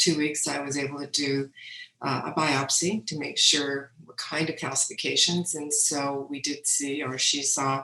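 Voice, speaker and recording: Monotone, flat speech from a woman at a fairly slow pace, her pitch very deep and low. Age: 60s. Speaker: breast cancer patient. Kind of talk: testimony.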